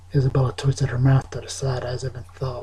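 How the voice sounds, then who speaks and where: A man speaks softly at a medium pitch. His pace is moderate. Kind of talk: ASMR soft-spoken story reading. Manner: soft-spoken, with some stumbling over words.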